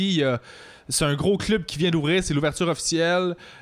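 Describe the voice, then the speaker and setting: With ordinary variation, this man's pitch stays fairly high. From Quebec (Longueuil). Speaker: podcast host. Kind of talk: casual chat.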